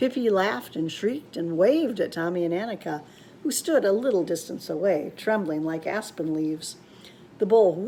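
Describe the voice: The intonation here is lively. The delivery is plain reading aloud.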